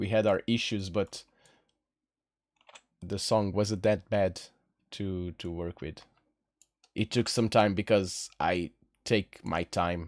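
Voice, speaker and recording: A man with a Portuguese accent and a relaxed tone, at a very slow pace with long, frequent pauses. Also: fairly low pitch for a man, fairly even intonation, very clean recording, silent background. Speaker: singer and streamer composing music. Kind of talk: casual live stream chat. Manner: relaxed, chilled; halting, repeats words.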